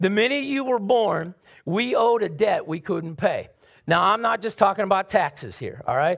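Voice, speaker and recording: A man talks at a moderate pace in a high pitch, with an animated, warm tone. His intonation is lively, and the background stays quiet. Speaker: pastor. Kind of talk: sermon. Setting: church with live congregation. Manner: animated, warm, conversational preacher's delivery with rhetorical questions.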